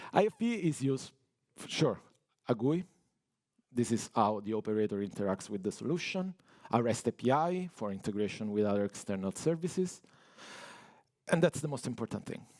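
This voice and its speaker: A man with an Italian accent, medium in pitch, at a fairly quick pace with very wide pitch swings and long, frequent pauses. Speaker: network automation engineer. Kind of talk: technical conference talk.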